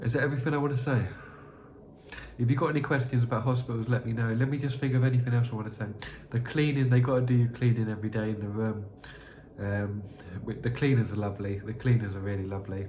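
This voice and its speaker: The speech comes at a very fast pace yet with long, frequent pauses, amid noticeable background noise and audible room echo. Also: man, medium pitch for a man, fairly even intonation. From southern England (Slough). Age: 30s. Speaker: youtuber. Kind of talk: unscripted monologue. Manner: halting.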